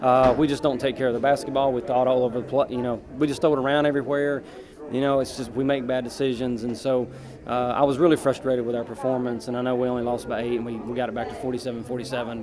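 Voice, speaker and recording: Very fast speech is heard over noticeable background noise. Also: man. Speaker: basketball head coach. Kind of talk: interview answer. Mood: frustrated after a loss. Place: hall. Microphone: handheld.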